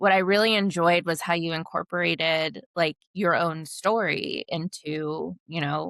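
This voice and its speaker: Speaking fairly slowly with an American accent, a woman keeps her fairly low voice in a fairly even intonation. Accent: occasional Valley Girl. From Southern California. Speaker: podcast host. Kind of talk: interview. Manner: hesitant, many fillers.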